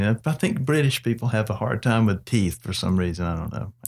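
A man with a medium pitch and an American accent at a fairly quick pace, on a very clean recording with a silent background. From South Georgia, US. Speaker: podcast host. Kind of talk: casual chat.

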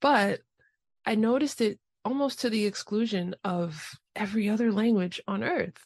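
A woman speaks at a moderate pace with an American accent in a normal speaking voice, the sound dry and close with no echo. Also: fairly high pitch for a woman, ordinary pitch variation. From New York City, the Bronx. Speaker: podcast host. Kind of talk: casual interview.

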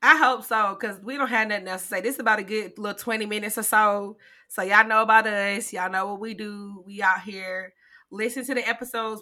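A woman talks at a moderate pace in a fairly high pitch with a bright, sharp tone. The recording is very clean, with a silent background. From South Carolina (Greenwood). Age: 30s. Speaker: podcast co-host, scientist. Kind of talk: casual chat.

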